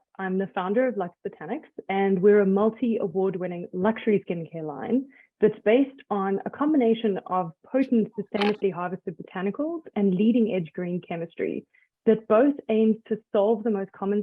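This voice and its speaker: A woman with a South African accent speaks at a moderate pace, medium pitch and ordinary pitch variation. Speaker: skincare brand founder. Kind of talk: interview.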